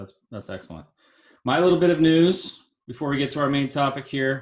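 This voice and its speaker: A man with a plain, everyday voice, fairly high pitch, ordinary pitch variation, a fairly quick pace, and big swings in loudness. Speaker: podcast host. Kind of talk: casual chat.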